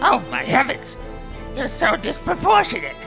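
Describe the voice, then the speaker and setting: With clear music in the background, a man does a put-on character voice at a moderate pace. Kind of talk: comic overacting. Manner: pompous, then exasperated and sulky.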